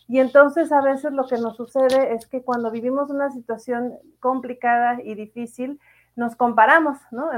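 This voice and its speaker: A woman talks at a moderate pace and a high pitch, with monotone, flat intonation. Her loudness swings widely. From Mexico, Morelia. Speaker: podcast host and emotional coach. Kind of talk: casual live chat monologue. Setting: live stream. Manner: hesitant, repeats words.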